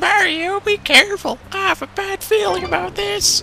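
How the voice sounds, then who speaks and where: A female-sounding, put-on character voice moves at a moderate pace over clear background noise. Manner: worried, warning.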